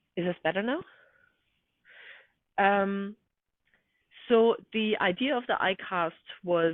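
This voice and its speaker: Very slow speech from a woman, with ordinary pitch variation. Her pauses are long and frequent. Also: medium pitch for a woman. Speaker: researcher presenting a measurement tool. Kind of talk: webinar presentation. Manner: halting, many fillers.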